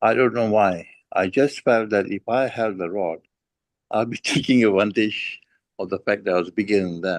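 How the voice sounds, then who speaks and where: A man at a moderate pace, fairly low pitch and ordinary pitch variation, dry and close with no echo. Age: 60s. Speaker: parent sharing experience. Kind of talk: casual chat. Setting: video call. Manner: halting.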